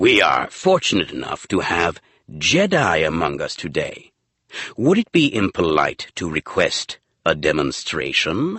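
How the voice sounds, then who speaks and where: Using a put-on character voice, a man speaks at a moderate pace with very deep, low pitch. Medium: read story.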